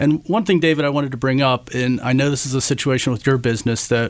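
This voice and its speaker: A man with a normal speaking voice talks fairly quickly, his pitch medium and its variation ordinary. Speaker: insurance agent. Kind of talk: radio interview, business talk.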